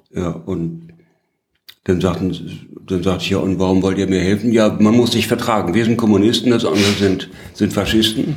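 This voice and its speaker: Audible room echo surrounds a man who speaks at a moderate pace, with a fairly low pitch and fairly even intonation. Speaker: former journalist and politician. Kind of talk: interview. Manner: halting.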